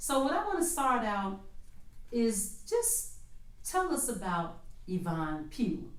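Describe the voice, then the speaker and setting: A woman with an American accent speaks with very wide pitch swings. Room echo is audible. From Chicago, South Shore. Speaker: podcast host, non-profit worker. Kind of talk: interview.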